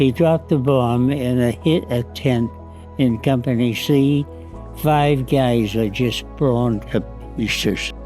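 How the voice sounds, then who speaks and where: A man at a medium pitch and a very slow pace, with ordinary pitch variation, very even loudness and music in the background. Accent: American. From United States. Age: 80s+. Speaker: war veteran. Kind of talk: interview answer.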